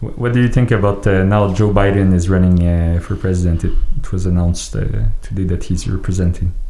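A man with a very deep, low pitch speaks at a fairly quick pace with hardly any pauses, fairly even intonation and very even loudness. Noticeable background noise sits behind him. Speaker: podcast host. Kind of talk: casual chat. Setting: studio.

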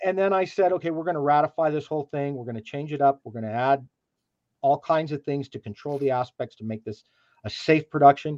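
A man speaking at a very fast pace, loudness swinging widely, in a dry, close sound with no echo. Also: ordinary pitch variation. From New Mexico. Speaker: business owner. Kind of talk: interview. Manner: halting.

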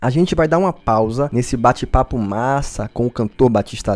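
In a very clean recording with a silent background and a dry, close sound with no echo, a man with an unremarkable speaking voice talks at a moderate pace with lively intonation. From Bahia, Brazil. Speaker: radio host. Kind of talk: casual radio interview. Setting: radio studio.

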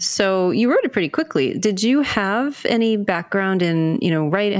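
A woman talks at a moderate pace and medium pitch in an ordinary speaking voice. The recording is very clean, with a silent background. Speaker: podcast host and mystery author. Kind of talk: interview podcast.

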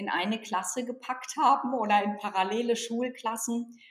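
The voice is heard over noticeable background noise. Its intonation is fairly even. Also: woman. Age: 40s. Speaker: organisational consultant and author. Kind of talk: interview.

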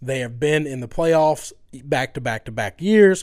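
A normal speaking voice from a man with an American accent, fairly high in pitch, at a moderate pace, in a very clean recording with a silent background. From US South. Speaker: sports podcast co-host. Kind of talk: casual sports talk.

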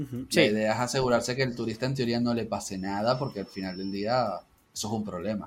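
A man talks very rapidly at a medium pitch, his intonation staying fairly even. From Venezuela, Caracas. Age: 30s. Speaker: university statistics lecturer. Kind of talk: casual chat.

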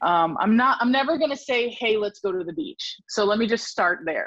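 A woman talks at a fairly quick pace with ordinary pitch variation. It is an ordinary speaking voice. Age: 40s. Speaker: podcaster and author. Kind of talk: casual chat.

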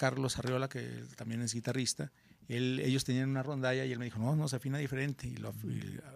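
This man has an ordinary speaking voice at medium pitch. He talks at a fairly quick pace with fairly even intonation. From Mexico, Guadalajara, Jalisco. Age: 50s. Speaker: rock musician. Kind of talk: casual chat.

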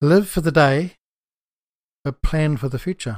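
A man in a New Zealand accent, fairly high in pitch, with ordinary pitch variation and a fairly slow pace. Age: 60s. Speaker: farmer and author, podcast host. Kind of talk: solo podcast monologue, casual and rambling. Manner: rambling, hesitant with fillers.

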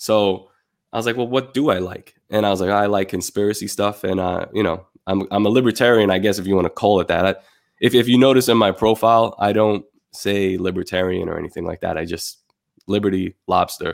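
A man speaks in a plain, everyday voice at fairly low pitch. His intonation is fairly even and his pace fairly quick. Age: 30s. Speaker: artist and designer. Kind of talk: casual chat.

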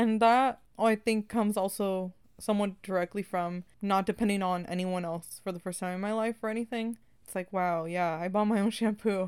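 A woman with an American accent talks at a moderate pace in an ordinary speaking voice at a medium pitch, with fairly even intonation, on a very clean recording with a silent background. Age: 20s. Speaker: podcast co-host. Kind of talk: casual chat.

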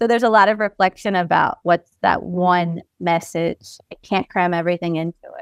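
Over a quiet background, a woman with an American accent talks at a moderate pace and medium pitch, with fairly even intonation and hardly any pauses. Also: dry, close sound with no echo. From US Northeast, Pennsylvania. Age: 30s. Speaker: author and publisher. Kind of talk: casual interview chat.

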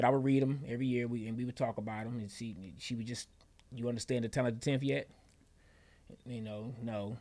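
Talking at a very fast pace with long, frequent pauses, this speaker has a dark, mellow tone, fairly even intonation and an American accent. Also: man, medium pitch for a man. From Detroit, Michigan. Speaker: former pro football player and actor. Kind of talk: interview conversation.

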